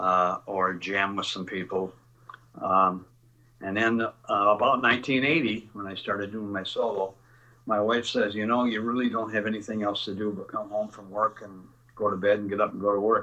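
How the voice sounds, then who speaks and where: With a Midwestern American accent, a man talks in a fairly low pitch with a bright, sharp tone and fairly even intonation. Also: moderate pace. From Northern Illinois. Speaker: musician. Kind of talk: casual chat.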